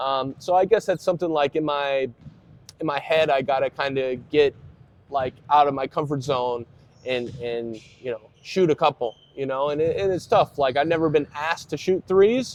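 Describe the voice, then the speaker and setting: In an American accent, a man speaks at a moderate pace with ordinary pitch variation in a dry, close sound with no echo. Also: fairly high pitch for a man. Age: 20s. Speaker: professional basketball player. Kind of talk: interview. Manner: halting, many fillers.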